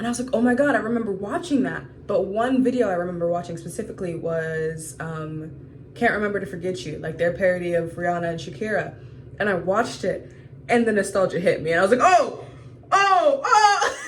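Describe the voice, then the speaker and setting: With an American accent, a woman speaks at a medium pitch and a fairly quick pace. Her intonation is lively, and audible room echo is present. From US South, Georgia. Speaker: vlogger. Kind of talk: video diary.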